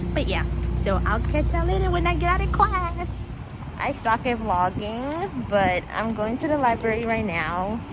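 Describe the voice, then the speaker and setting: There is noticeable noise behind a woman's voice, along with audible echo from the room. She speaks at a moderate speed. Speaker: vlogger. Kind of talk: casual vlog. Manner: soft-spoken.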